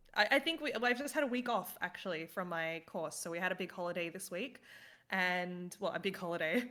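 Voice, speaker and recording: Speaking with an Australian accent, a woman uses lively intonation, a bright, sharp tone and a medium pitch. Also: fairly quick pace, very clean recording, silent background. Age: 30s. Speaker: gaming team manager. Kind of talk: casual chat.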